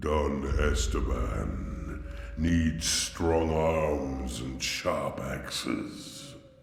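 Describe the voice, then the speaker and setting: Putting on a character voice, a man speaks very slowly at a very deep, low pitch with clear echo around him. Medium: machinima. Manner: slow, simple, grave.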